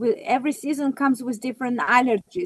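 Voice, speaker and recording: Non-native accent in a dry, close recording without echo. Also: woman. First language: not English. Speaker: natural health practitioner. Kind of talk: casual chat. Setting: live video stream. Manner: halting.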